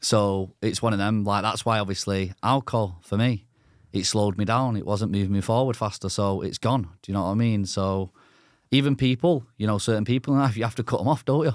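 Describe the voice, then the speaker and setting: Recorded very cleanly over a silent background, a man with an unremarkable speaking voice talks at a fairly quick pace and a fairly low pitch with ordinary pitch variation. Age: 20s. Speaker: podcast host. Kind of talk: casual podcast conversation.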